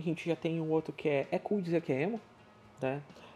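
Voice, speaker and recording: A man talks at a fairly quick speed and fairly high pitch, varying it in an ordinary way, with music in the background. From southern Brazil, Rio Grande do Sul. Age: 30s. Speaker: podcast host. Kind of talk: casual solo monologue.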